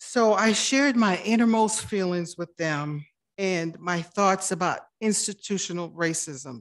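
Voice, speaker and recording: Over a quiet background, a woman with a plain, everyday voice speaks at medium pitch and a fairly slow pace, her intonation lively. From immigrant to the US. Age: 50s. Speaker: city council member. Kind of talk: council meeting report.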